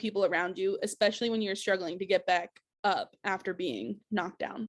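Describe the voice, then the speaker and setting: A woman talks at a fairly quick pace with ordinary pitch variation. She has a normal speaking voice, and the background is quiet. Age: 20s. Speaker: teacher and mental health advocate. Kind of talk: personal video application, testimony.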